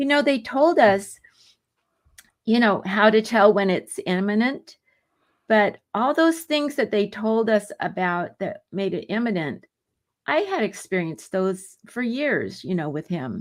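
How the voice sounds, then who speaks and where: In a very clean recording with a silent background, a voice with an American accent moves at a fairly slow pace through very wide pitch swings. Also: woman, fairly high pitch for a woman. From San Diego, California. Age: 70s. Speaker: author and pilgrim. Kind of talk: interview answer.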